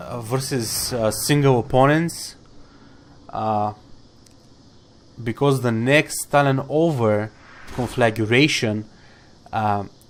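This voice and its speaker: The man speaks at a very slow pace, with long, frequent pauses. His pitch is medium and it varies in an ordinary way. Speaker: gaming guide creator. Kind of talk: tutorial. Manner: hesitant, many fillers.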